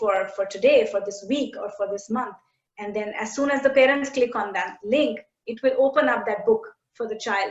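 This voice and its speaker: The speaker talks at a fairly quick pace. They have an Indian accent. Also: woman. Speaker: education tech company CEO. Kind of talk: interview conversation. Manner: halting, many fillers.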